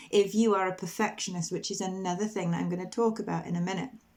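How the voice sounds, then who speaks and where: With a British accent, a woman speaks at medium pitch and fairly even intonation. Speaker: motherhood coach. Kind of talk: personal vlog update. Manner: slow, deliberate.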